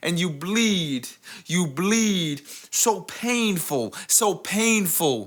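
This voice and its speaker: At a very slow pace, a man speaks with an American accent. His pitch is high and his intonation lively. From US Northeast, the Bronx, New York. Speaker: spoken word poet. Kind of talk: spoken word poetry performance.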